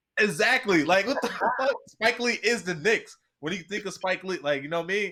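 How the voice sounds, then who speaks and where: Raising and projecting his voice, a man with an American accent speaks at a high pitch with a bright, sharp tone. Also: lively intonation. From New Jersey. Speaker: sports podcast host. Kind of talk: casual sports chat. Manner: animated.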